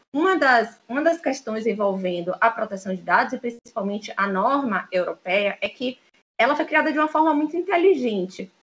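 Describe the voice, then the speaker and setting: Her pitch swings very widely as a woman talks at a moderate pace. Her voice sits fairly high. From Bahia, Brazil (Salvador). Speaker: lawyer. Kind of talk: interview.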